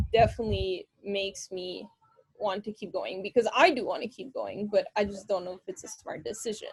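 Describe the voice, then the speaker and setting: Recorded dry and close with no echo, a woman with a fairly high pitch sounds somewhat breathy and uses ordinary pitch variation. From Quebec, Gatineau. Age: 20s. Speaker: pro cyclist. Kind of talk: interview. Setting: video call.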